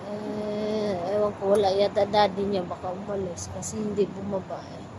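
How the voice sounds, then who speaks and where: A woman's flat, monotone delivery with big swings in loudness, against noticeable background noise. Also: medium pitch for a woman, moderate pace. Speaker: domestic helper and vlogger. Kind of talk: casual vlog monologue. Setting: outdoors at night, waiting outside.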